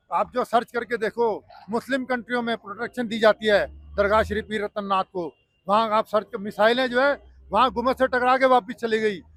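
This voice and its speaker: A man speaks in a high pitch with fairly even intonation. The sound is dry and close, with no echo. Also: moderate pace. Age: 60s. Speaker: temple volunteer. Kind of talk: street interview, protest. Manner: agitated, argumentative.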